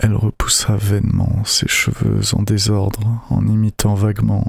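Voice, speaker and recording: A man whispers at a very slow pace. His voice is soft-spoken. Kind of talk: audiobook reading. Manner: whispered, soft-spoken.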